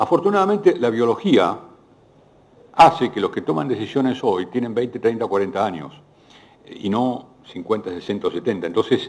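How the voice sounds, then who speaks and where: The voice shows very wide pitch swings along with big swings in loudness. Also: man, medium pitch for a man, moderate pace. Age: 60s. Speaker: economist. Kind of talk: panel Q&A. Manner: halting.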